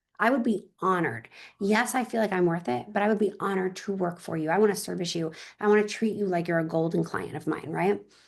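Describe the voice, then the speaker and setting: A woman at medium pitch, very fast and animated, with vocal fry. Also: ordinary pitch variation. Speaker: luxury real estate agent. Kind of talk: interview.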